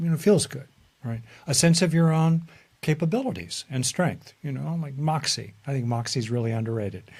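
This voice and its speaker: With lively intonation and a somewhat breathy quality, the voice carries an American accent. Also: man, fairly high pitch for a man. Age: 70s. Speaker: psychologist. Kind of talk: interview. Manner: hesitant, many fillers.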